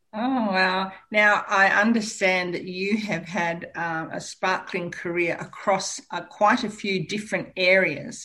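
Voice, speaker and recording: A woman's medium-pitched voice with an Australian accent, fairly slow and fairly even in intonation, with hardly any pauses. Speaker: radio host. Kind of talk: radio interview. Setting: studio.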